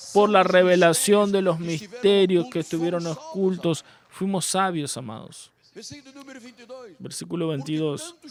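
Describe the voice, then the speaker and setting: The speech moves at a fairly slow pace with long, frequent pauses. Pitch varies in an ordinary way. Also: man, high pitch for a man. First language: Portuguese (speaking Spanish). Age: 60s. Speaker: pastor. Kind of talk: sermon. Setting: church.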